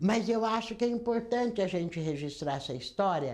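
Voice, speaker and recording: A woman speaks at a medium pitch and a moderate pace. Her pitch swings very widely, and audible room echo surrounds her voice. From Brazil, Campinas (São Paulo state). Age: 70s. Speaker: labor union leader and health worker. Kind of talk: oral history testimony.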